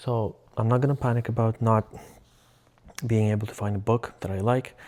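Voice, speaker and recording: A man with a medium pitch speaks fairly quickly in a monotone, flat intonation. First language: Russian. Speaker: vlogger. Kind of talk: casual vlog monologue. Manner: halting, self-correcting.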